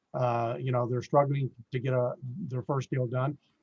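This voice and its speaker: Somewhat breathy speech at a moderate pace comes through dry and close, with no echo. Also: man. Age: 60s. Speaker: real estate investor. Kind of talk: casual interview. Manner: hesitant, many fillers.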